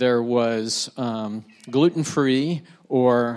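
In an American accent, a man uses a plain, everyday voice at medium pitch with fairly even intonation. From United States. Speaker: church community builder. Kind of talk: panel conversation.

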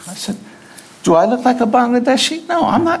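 A man with an American accent speaks at an extremely high pitch with very wide pitch swings. Noticeable background noise and audible room echo are present. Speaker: missionary. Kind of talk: sermon. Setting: church.

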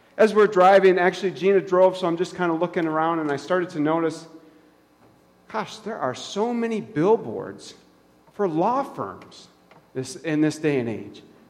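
A man's high pitch and lively intonation at a moderate pace, over noticeable background noise. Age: 30s. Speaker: pastor. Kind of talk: sermon. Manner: casual, conversational.

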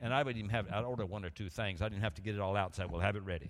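On a very clean recording with a silent background, a man speaks with an Alabama accent in a fairly low voice. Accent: Southern US (Alabama). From US South, Montgomery, Alabama. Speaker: guest preacher. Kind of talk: sermon. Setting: church.

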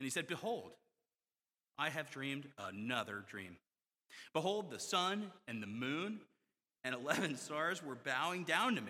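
An American-accented man speaks with a fairly high pitch, a bright, sharp tone and vocal fry. His pitch swings very widely, and he leaves long, frequent pauses. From US South. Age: 40s. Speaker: pastor. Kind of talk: sermon. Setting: church.

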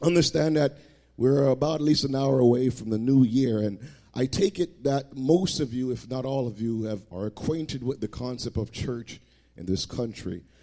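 Delivered at a moderate pace, an unremarkable speaking voice shows ordinary pitch variation. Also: man, medium pitch for a man. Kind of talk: sermon. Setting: church. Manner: warm, conversational preacher.

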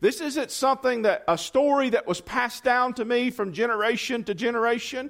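Loud speech at a moderate pace on a very clean recording with a silent background. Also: man. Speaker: preacher. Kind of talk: sermon. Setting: church.

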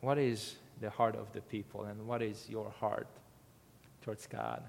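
This speaker has a non-native accent and talks at a fairly slow pace. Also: man. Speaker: missionary preacher. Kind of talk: sermon. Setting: church. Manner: halting.

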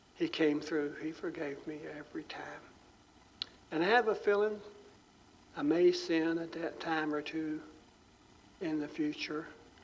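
A man with a fairly high voice talks at a fairly slow pace, his intonation fairly even. Long, frequent pauses break up his speech, and the room echo is audible. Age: old. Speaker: pastor. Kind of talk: sermon.

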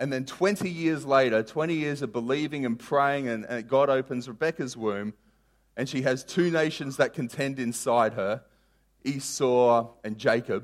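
In a very clean recording with a silent background, a man with a plain, everyday voice speaks at a fairly slow pace in a medium pitch with ordinary pitch variation. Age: 30s. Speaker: pastor. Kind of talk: sermon.

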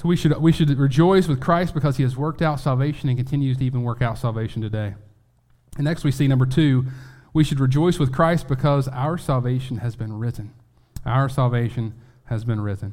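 This man has a medium pitch, ordinary pitch variation, a dark, mellow tone and a somewhat breathy quality, and he speaks at a fairly quick pace. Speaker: preacher. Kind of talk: sermon. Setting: church.

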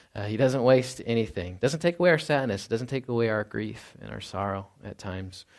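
A man's ordinary speaking voice, medium-pitched, with lively intonation, big swings in loudness, a fairly quick pace and hardly any pauses, on a very clean recording with a silent background. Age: 30s. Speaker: pastor. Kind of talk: sermon. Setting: church.

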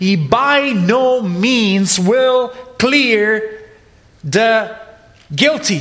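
A high-pitched man speaks at a very slow pace with long, frequent pauses. Noticeable background noise is present. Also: lively intonation. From Italy. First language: Italian. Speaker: preacher. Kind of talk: sermon.

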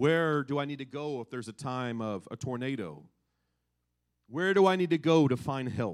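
In an American accent, a man with a fairly high pitch and an ordinary speaking voice talks at a moderate pace with lively intonation, on a very clean recording with a silent background. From Kansas, US Midwest. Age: 40s. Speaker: pastor. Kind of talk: sermon.

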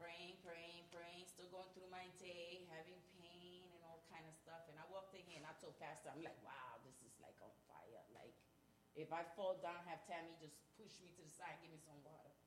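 A woman speaks at a fairly low pitch in a somewhat breathy voice. Her loudness swings a lot, and the room echo is audible. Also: moderate pace. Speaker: church member giving testimony. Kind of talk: testimony. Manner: animated.

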